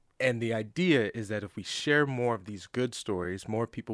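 A man talks at a moderate pace in a plain, everyday voice. The recording is very clean, with a silent background. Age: 20s. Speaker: nonprofit founder. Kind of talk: casual chat.

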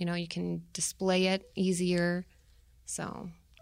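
Recorded very cleanly against a silent background, a woman speaks in an American accent. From Tucson, Arizona. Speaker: production manager at family business. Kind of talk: interview. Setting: studio.

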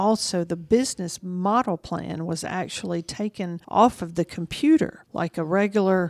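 A woman with a Southern US accent speaks at a fairly low pitch and a fairly slow pace, with ordinary pitch variation. The recording is very clean, dry and close, with no echo and a silent background. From Georgia, US South. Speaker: private investigator and show host. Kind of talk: interview.

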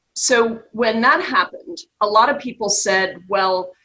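Using lively intonation, a woman with an American accent speaks at a fairly slow pace. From New York, US Northeast. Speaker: trust company executive. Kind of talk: radio interview discussion. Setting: remote interview.

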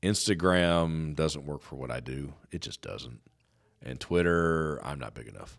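A man's very deep, low voice with big swings in loudness. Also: ordinary pitch variation, fairly slow pace. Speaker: business radio host. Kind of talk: radio interview. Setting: studio. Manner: over-enunciates.

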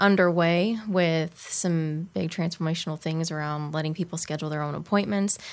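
This woman has an ordinary speaking voice with a fairly low pitch. Her intonation stays fairly even. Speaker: healthcare experience director. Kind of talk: radio interview. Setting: studio.

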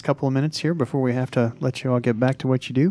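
Speaking at a very fast pace with an American accent, a man delivers a monotone, flat line at a medium pitch in a dark, mellow tone. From Missouri, US Midwest. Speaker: radio host. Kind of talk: radio interview. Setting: studio.

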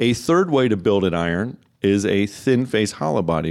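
A man has a normal speaking voice, pitched fairly low, with lively intonation. The recording is very clean, the background silent. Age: 50s. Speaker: golf club fitter. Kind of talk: radio interview. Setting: studio.

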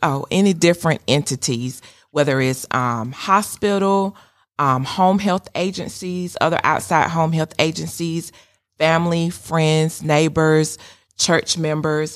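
A woman with a Georgia accent and a very deep, low pitch, ordinary pitch variation, a fairly slow pace, and a very clean recording with a silent background. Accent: US Southern (Georgia). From Georgia, Sandersville. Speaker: social services program director. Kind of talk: casual chat.

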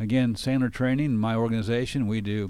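At a moderate pace, the speaker uses a normal speaking voice with ordinary pitch variation. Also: man. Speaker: radio host. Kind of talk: interview for a business radio show.

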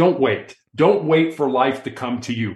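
Speaking at a moderate pace, a man has an ordinary speaking voice with a fairly high pitch. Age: 60s. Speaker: motivational speaker and author. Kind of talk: interview. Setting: studio.

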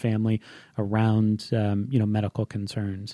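In a very clean recording with a silent background, a man speaks in a flat monotone, his tone dark and mellow and his pitch fairly low. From Hawaii. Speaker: physician and healthcare startup founder. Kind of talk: interview.

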